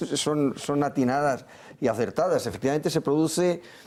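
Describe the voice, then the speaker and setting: This man has a fairly high pitch. He speaks at a moderate pace. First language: Catalan (speaking Spanish). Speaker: political commentator. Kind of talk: TV panel debate. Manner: halting, with repetitions.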